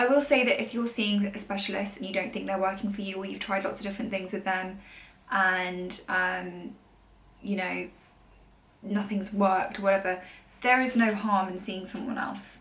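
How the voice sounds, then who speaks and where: A woman speaks with fairly even intonation in audible room echo. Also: medium pitch for a woman. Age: 30s. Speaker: vlogger. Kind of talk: casual chat. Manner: fast.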